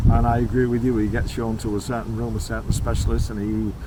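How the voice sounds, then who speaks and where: A man with a British accent is heard with audible room echo and noticeable background noise. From United Kingdom. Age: 80s+. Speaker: expat retiree interviewee. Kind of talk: interview. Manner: halting with many fillers.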